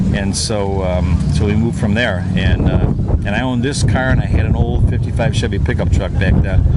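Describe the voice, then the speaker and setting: A man with an American accent, fairly low-pitched, with lively intonation and a fairly quick pace, amid audible room echo and noticeable background noise. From Illinois. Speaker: car owner. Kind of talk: casual interview. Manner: halting, many fillers.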